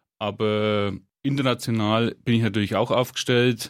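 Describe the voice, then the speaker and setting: A man's unremarkable speaking voice at a medium pitch, fairly slow and fairly even in intonation, on a very clean recording with a silent background. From Franconia, Hersbruck area, Germany. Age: 30s. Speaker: head chef. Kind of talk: casual interview. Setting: radio studio.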